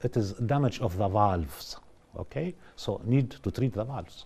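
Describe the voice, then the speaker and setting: A man with a non-native accent, medium-pitched and somewhat breathy, with a dark, mellow tone, lively intonation and a fairly slow pace. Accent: non-native English, self-described. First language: Russian, French and Arabic. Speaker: vascular surgeon. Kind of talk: TV interview. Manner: halting, many fillers.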